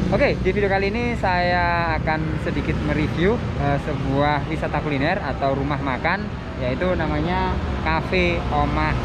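Loud background noise surrounds the recording. A man talks over it at a moderate pace. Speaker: travel vlogger. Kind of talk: casual vlog chat. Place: street. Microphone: phone near.

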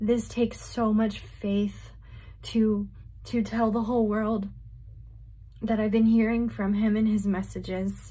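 At a fairly slow pace, a woman speaks with very even loudness and long, frequent pauses. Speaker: religious vlogger. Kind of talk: casual vlog chat. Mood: earnest, emotional. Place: home room. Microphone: phone near.

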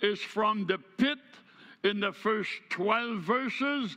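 A man's raised, projected voice at a very slow pace over a quiet background. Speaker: preacher. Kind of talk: sermon. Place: church.

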